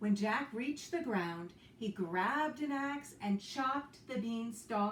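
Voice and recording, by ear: Lively intonation in reading aloud in a natural voice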